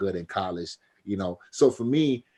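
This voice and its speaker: The voice is loud, with very wide swings in pitch. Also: man. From US Midwest, Detroit area. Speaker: basketball coach and former pro player. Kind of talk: casual interview chat. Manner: animated.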